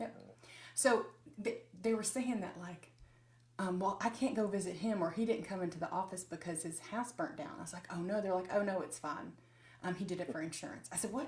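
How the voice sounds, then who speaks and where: A woman of medium pitch speaks at a fairly quick pace with lively intonation and a somewhat breathy voice, with audible room echo around her. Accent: Southern US. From US South, Nashville, Tennessee. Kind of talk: casual chat.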